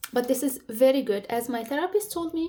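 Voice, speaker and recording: A woman speaks with an Arabic accent. Her pitch is high and her tone dark and mellow. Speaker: career advice vlogger. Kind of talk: casual advice talk to camera. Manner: searching for words, some pauses.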